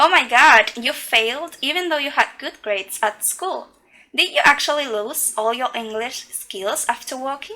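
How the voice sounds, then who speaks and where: In a raised, projected voice, the speaker goes at a moderate pace with lively intonation. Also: woman, high pitch for a woman. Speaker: English teaching student. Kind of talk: scripted podcast interview.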